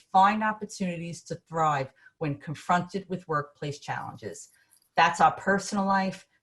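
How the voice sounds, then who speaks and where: Somewhat breathy, a woman talks with a New York accent. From Brooklyn, New York. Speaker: business consultant. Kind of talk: webinar presentation. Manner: animated.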